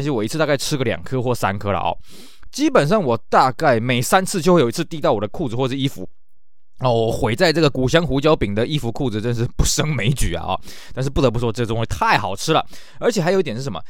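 Using a plain, everyday voice, a man talks at a fairly quick pace at a medium pitch with lively intonation. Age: middle-aged. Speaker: podcast host. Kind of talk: casual monologue.

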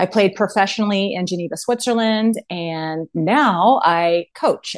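A woman with an American accent speaks at a fairly slow pace in an unremarkable speaking voice, medium in pitch with ordinary pitch variation, over a quiet background. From Texas (Austin). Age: 40s. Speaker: mental performance coach and former volleyball player. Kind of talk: casual interview chat.

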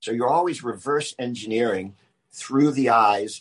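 A man with an American accent speaks at a moderate pace with an unremarkable speaking voice. His medium pitch carries ordinary variation, and the sound is dry and close with no echo. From US South, Charleston, South Carolina. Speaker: writer and filmmaker. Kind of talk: interview conversation.

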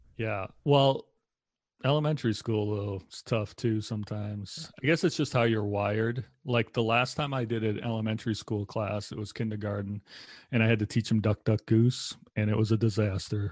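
This very clean recording with a silent background has a man with a fairly low pitch, an unremarkable speaking voice and fairly even intonation, speaking at a moderate pace. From Massachusetts (Lowell, north of Boston). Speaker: chaplain and podcast co-host. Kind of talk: casual conversational interview.

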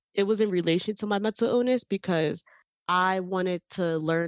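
On a very clean recording with a silent background and a dry, close sound without echo, a woman speaks at a fairly low pitch and fairly quick pace with ordinary pitch variation. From US, Dominican and Puerto Rican family. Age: 20s. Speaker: filmmaker and content creator. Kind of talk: casual interview. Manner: halting, many fillers and restarts.

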